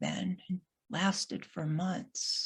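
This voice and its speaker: Somewhat breathy and medium-pitched, a woman's voice moves at a very slow pace. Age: 60s. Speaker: solo performer. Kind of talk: solo theater monologue. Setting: video call.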